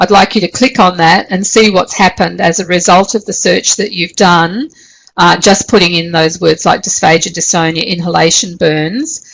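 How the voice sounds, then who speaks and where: A woman with an Australian accent speaks at a moderate pace in a fairly low pitch, with ordinary pitch variation. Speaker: university lecturer. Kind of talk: online class tutorial. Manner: hesitant, many fillers.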